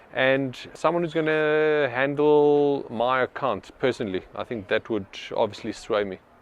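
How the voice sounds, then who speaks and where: He speaks at a moderate pace, with ordinary pitch variation. This man has an unremarkable speaking voice, fairly high in pitch. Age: 40s. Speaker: business owner. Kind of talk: market research interview.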